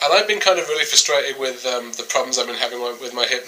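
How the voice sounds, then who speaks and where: Noticeable background noise behind a man speaking at medium pitch. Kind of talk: casual talk to camera. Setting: recording at night at home.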